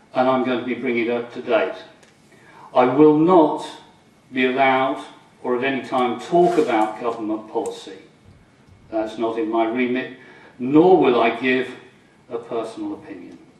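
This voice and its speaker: Amid noticeable background noise and audible room echo, a man speaks at a medium pitch and moderate pace with long, frequent pauses. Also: ordinary pitch variation. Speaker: coastguard officer, lecturer. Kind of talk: lecture. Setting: lecture hall with audience, microphone. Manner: loud.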